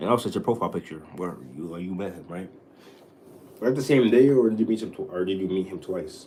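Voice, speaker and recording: Very fast pace from a man. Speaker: livestreamer. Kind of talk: casual livestream chat. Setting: home livestream. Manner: stuttering.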